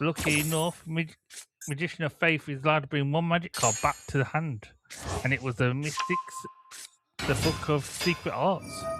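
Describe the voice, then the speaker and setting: Music plays in the background. A man speaks at a fairly high pitch with fairly even intonation. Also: moderate pace. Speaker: gaming commentator. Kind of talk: live commentary. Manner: halting.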